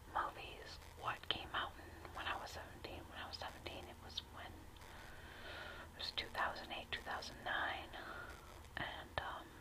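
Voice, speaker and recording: A woman whispering in an American accent at a fairly slow pace, with noticeable background noise. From United States. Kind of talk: casual talk to camera. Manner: whispered, soft.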